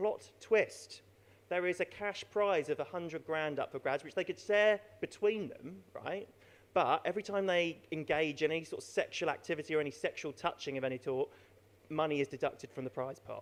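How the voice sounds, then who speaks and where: With an English accent, a man talks at a fairly quick pace in a high pitch with ordinary pitch variation. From southern England, Broadstairs, Kent. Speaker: stand-up comedian. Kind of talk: stand-up. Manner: halting.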